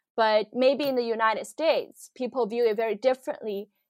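A woman speaks with a Chinese accent at a high pitch. Her pitch variation is ordinary. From China, Shanghai. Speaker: product designer. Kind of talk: casual interview. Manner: hesitant, many fillers.

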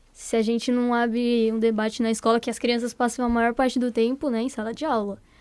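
A woman's fairly high, monotone, flat voice at a fairly quick pace with hardly any pauses, on a very clean recording with a silent background. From Brazil, São Paulo. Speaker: podcast co-host. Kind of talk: casual chat.

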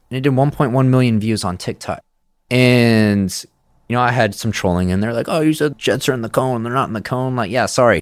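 Man with an American accent in an ordinary speaking voice, medium pitch and ordinary pitch variation, at a fairly quick pace on a very clean recording with a silent background. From Texas (Midland). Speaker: energy tech company founder and CEO. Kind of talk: casual chat. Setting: studio.

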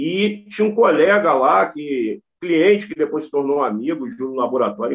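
There are very wide pitch swings in this man's voice. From Brazil, Rio de Janeiro state and Brasília. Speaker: rapper and cultural activist. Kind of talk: interview.

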